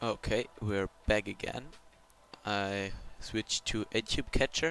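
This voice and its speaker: A man with a German accent and a bright, sharp tone, fairly low in pitch, with ordinary pitch variation, at a very slow pace. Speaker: video tutorial creator. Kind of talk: screen-recorded software tutorial. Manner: halting, with many fillers and restarts.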